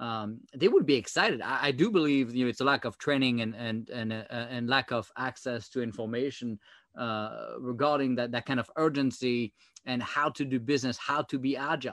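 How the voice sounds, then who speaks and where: With a French accent, a man speaks at a moderate pace and medium pitch, his intonation fairly even. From France. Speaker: former government software chief. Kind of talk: interview. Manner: halting, many fillers.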